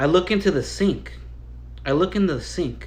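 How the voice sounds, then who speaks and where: A man's voice with audible room echo. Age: 30s. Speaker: storyteller YouTuber. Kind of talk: casual live-stream storytelling. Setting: live stream. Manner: halting, repetitive.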